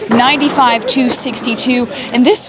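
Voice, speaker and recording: This woman has a high-pitched voice and talks at a moderate pace. Noticeable noise sits in the background. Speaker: sports broadcaster, sideline reporter. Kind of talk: sports broadcast reporting.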